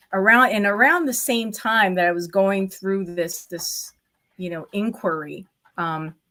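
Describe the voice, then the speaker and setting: At a fairly slow pace, a woman talks in a medium-pitched, bright and sharp voice with ordinary pitch variation and big swings in loudness. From Cuban heritage, native Spanish speaker. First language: Spanish. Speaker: estate planning attorney. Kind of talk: interview. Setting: video call from her office. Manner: hesitant, many fillers.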